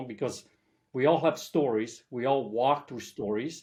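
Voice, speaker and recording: A man with a Polish accent talks at a medium pitch and moderate pace, with ordinary pitch variation. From southern Poland. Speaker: life coach. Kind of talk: podcast interview.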